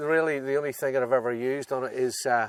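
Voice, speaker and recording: In a Northern Irish accent, a man speaks at a moderate pace and medium pitch with monotone, flat intonation, on a very clean recording with a silent background. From Northern Ireland. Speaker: 4WD owner showing his vehicle. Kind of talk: casual chat. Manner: hesitant, many fillers.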